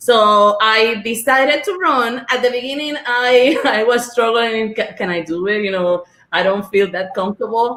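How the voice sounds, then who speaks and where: The voice has a strong Spanish accent and a bright, sharp tone, moving at a moderate pace. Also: woman. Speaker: school board member and former teacher. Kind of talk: panel discussion.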